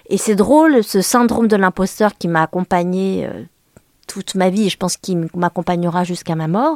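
In a dry, close sound with no echo, a woman speaks at a medium pitch and moderate pace with ordinary pitch variation. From France, Le Mans. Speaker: journalist and author. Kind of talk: interview. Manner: halting.

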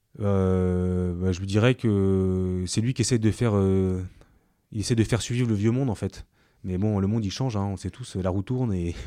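Dark, mellow tone at a moderate pace, with fairly even intonation, on a very clean recording with a silent background. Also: man, fairly low pitch for a man. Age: 30s. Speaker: banker and startup co-founder. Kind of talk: interview. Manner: halting, many repetitions and fillers.

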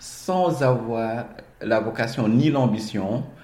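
A man speaks at a medium pitch. Audible room echo can be heard. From Senegal, Dakar. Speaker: management consultant. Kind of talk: interview. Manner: halting, frequent word repetitions.

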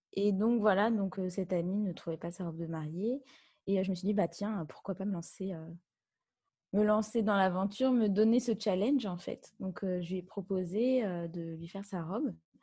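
A somewhat breathy voice with a dark, mellow tone moves at a moderate pace. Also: woman, medium pitch for a woman, ordinary pitch variation, quiet background. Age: 30s. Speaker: wedding dress designer. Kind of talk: interview.

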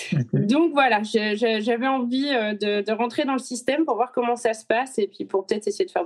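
Here a woman speaks at a fairly high pitch. Her pace is moderate. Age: 40s. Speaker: teacher. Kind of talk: interview. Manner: hesitant.

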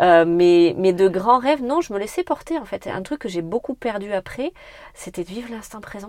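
With noticeable background noise but a dry, close sound and no echo, a woman speaks at a medium pitch and a moderate pace in an energetic tone with very wide pitch swings. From France, Corrèze (Brive area). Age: 30s. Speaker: entrepreneur. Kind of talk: interview.

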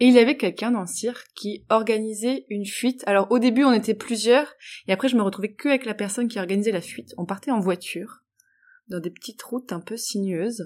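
On a very clean recording with a silent background, a woman speaks at a fairly quick pace and fairly high pitch, with ordinary pitch variation and big swings in loudness. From Morocco. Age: 20s. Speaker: history podcaster. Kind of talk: personal testimony. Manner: animated.

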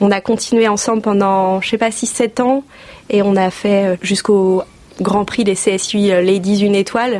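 Over noticeable background noise, a woman with a medium-pitched voice talks at a fairly slow pace in a monotone, flat intonation. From northern France (Oise). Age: 30s. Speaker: equestrian clothing entrepreneur. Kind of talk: casual interview chat.

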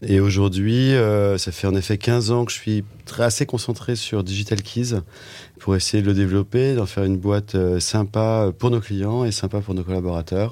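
A man speaks in an ordinary speaking voice, fairly low in pitch. His intonation is fairly even and his pace moderate. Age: 50s. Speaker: entrepreneur, digital agency co-founder. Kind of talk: casual interview chat.

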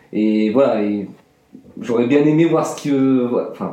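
Fairly slow speech from a man in a room with audible echo. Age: 20s. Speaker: student. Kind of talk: testimony. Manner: halting, with many fillers and repetitions.

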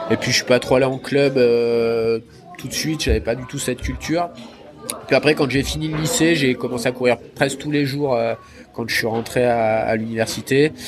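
With music in the background, a man talks at a moderate pace and keeps his intonation fairly even. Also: medium pitch for a man. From southern Isère, French Alps. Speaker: trail runner. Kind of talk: interview. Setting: at a race finish.

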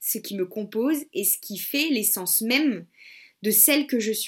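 Against a silent background in a very clean recording, a woman with a fairly high, somewhat breathy voice sounds energetic, her pitch swinging very widely. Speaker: podcast host and web entrepreneur. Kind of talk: solo podcast monologue. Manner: casual, energetic.

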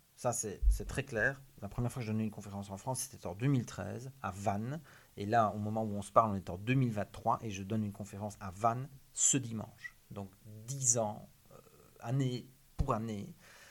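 Keeping his intonation fairly even, a man with a fairly low pitch speaks at a moderate pace while his loudness swings widely. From Belgium, Liège. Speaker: criminologist, author and public speaker. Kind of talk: interview.

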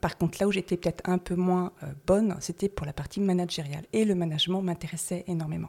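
A woman's unremarkable speaking voice at a medium pitch, a fairly quick pace and fairly even intonation, on a very clean recording with a silent background. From Paris, France. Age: 50s. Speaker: salt marsh worker, former cosmetics chemist. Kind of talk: interview.

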